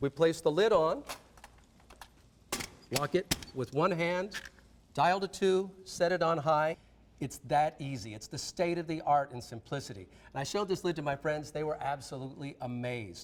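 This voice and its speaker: A man speaks at a moderate pace in a fairly high pitch, with ordinary pitch variation and a plain, everyday voice. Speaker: celebrity chef. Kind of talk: infomercial cooking demonstration.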